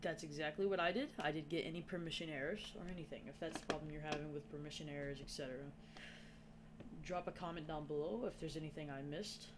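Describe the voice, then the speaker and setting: The speech runs at a fairly quick pace. Noticeable background noise is present throughout. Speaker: gaming tutorial youtuber. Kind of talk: tutorial. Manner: casual, informal.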